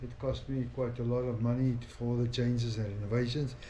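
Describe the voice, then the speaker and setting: A man speaks at a medium pitch with monotone, flat intonation. Noticeable background noise and audible room echo fill the recording. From South Africa. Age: 60s. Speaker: family vlogger. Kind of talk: casual vlog monologue. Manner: halting, many fillers.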